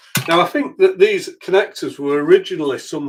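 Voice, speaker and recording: A man with a Yorkshire accent talks at a fairly quick pace. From Yorkshire, northern England. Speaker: electronics repair youtuber. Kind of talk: live stream repair tutorial. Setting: live stream at home workbench. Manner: casual, hesitant with fillers.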